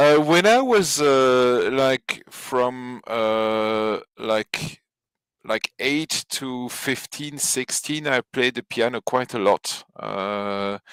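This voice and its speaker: A man with a French accent speaks at a very slow pace. The sound is dry and close with no echo, on a very clean recording with a silent background. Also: medium pitch for a man, ordinary pitch variation. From Belgium, Flemish area, French-speaking family. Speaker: podcast guest. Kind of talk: casual chat. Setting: live stream. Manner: hesitant, many fillers.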